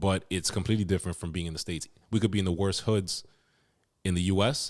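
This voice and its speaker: A man with an American accent, his pitch very deep and low, his intonation fairly even, his pace very fast. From US, Dominican family. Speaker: podcast host, interviewer. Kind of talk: casual interview chat.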